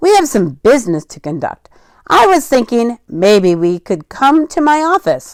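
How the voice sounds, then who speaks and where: A woman uses a put-on character voice with a high pitch. Her pitch swings very widely at a moderate pace. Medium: read story. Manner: folksy, jovial.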